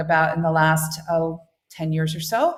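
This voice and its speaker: With an American accent, a woman is talking. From United States. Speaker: international school head. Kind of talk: interview. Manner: halting, many fillers.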